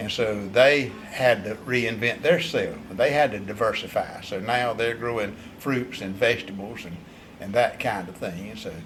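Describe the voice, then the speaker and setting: A man with an eastern North Carolina accent talks at a moderate pace with ordinary pitch variation. His loudness swings widely over noticeable background noise. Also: medium pitch for a man. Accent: US Southern (eastern North Carolina). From North Carolina, Bladen County. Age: 70s. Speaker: vineyard owner. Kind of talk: interview.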